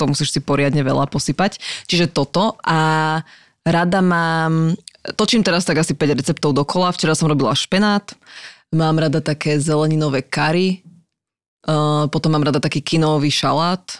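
A woman with a very deep, low pitch speaks at a moderate pace, with fairly even intonation and very even loudness. The recording is very clean with a silent background and a dry, close sound with no echo. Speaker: TV and radio presenter. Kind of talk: casual chat.

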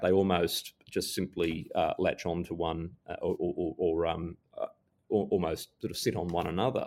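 A man's fairly low voice at a moderate pace, on a very clean recording with a silent background. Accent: Australian. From Australia. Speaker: security scholar and former diplomat. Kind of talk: interview.

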